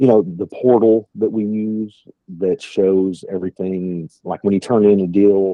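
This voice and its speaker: At a fairly slow pace, a man speaks in a fairly low pitch with fairly even intonation. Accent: strong West Texas. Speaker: sales trainer. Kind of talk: training call. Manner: casual, filler-heavy.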